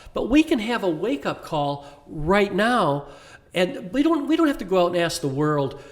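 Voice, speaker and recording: Over noticeable background noise, a man speaks in an enthusiastic tone at a high pitch, with very wide pitch swings. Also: moderate pace. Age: 70s. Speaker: inspirational speaker. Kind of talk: podcast interview.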